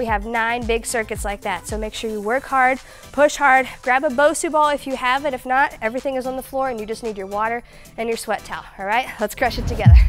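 A woman's high voice at a very fast pace, fairly even in intonation, with faint music in the background. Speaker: fitness instructor. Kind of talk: workout instruction. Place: gym. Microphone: lapel.

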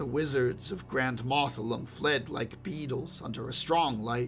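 A man's medium-pitched voice with ordinary pitch variation, a fairly slow pace, and music playing in the background. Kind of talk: fantasy short story reading.

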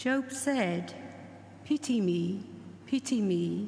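Through light background noise, a woman's somewhat breathy voice carries ordinary pitch variation. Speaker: lay reader. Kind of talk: reading aloud. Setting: church. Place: church. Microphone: podium.

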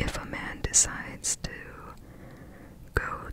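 Soft-spoken whispering in a relaxed tone, dry with no echo, over noticeable background noise. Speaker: reader of an old superstition book. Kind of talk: reading aloud with casual comments. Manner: soft ASMR whisper, relaxed reading.

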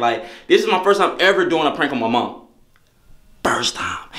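In a quiet background with audible room echo, a man speaks at a fairly quick pace. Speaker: vlogger. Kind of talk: casual vlog chat. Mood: excited, a bit nervous. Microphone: phone near.

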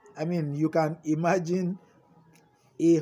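A man speaks at a fairly slow pace with a high pitch and a dark, mellow tone. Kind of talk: sermon. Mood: warm, encouraging, smiling. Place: garden. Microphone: phone near.

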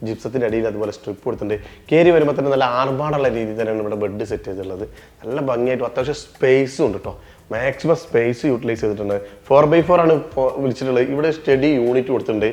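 Here a man talks in a medium pitch with ordinary pitch variation. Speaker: home tour video host. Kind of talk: home tour walkthrough narration. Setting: on location inside a house. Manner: animated.

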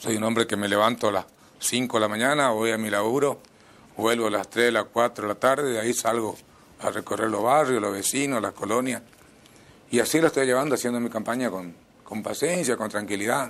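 Intonation stays fairly even while the words come at a fairly quick pace. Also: man. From Misiones, Argentina. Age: 50s. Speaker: mayoral candidate; candidate. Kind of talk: interview. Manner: halting. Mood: calm, earnest. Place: studio. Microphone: lapel.

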